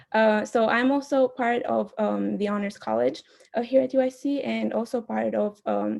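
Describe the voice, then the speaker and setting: A woman speaks with an Albanian accent. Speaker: student club candidate. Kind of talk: candidate speech. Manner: hesitant, many fillers.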